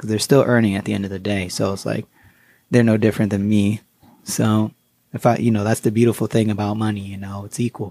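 The man's tone is dark and mellow. He talks at a fairly quick pace. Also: very clean recording, silent background. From US Connecticut. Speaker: guest, finance author and artist. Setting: studio. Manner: easygoing, upbeat and chatty; fills lines with 'you know' and overlapping thank-yous.

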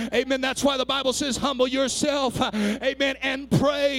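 A man's extremely high-pitched voice, animated in tone at a moderate pace, amid noticeable background noise. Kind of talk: sermon, preacher in full flow with call-and-response. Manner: animated, fervent, urgent exhortation to the congregation; rhythmic, building to a shout.

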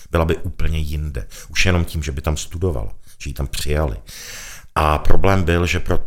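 Fairly even intonation from a male speaker at a very deep, low pitch. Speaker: gallery owner and arts patron. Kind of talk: interview.

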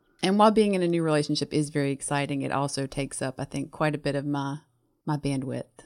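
Very fast and with a Southern US accent, a woman speaks in a very deep, low pitch with ordinary variation, the sound dry and close with no echo on a very clean recording with a silent background. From US South. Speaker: hospital pharmacist, book club member. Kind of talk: casual chat.

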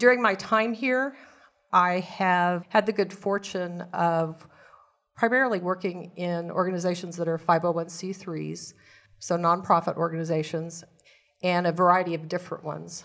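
Someone with a Midwestern American accent speaks at a moderate pace with fairly even intonation, in a very clean recording with a silent background. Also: woman, fairly low pitch for a woman. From Kansas. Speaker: community advocate. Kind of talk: interview. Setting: studio.

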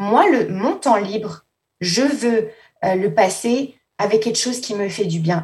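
Ordinary pitch variation in a woman's somewhat breathy speech. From France, Paris. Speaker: assistant school principal. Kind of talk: interview.

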